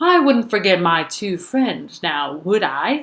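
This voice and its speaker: In a put-on character voice, the speaker talks at a fairly slow pace with a fairly high pitch and very wide pitch swings. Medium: read story. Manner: sly, false friendliness.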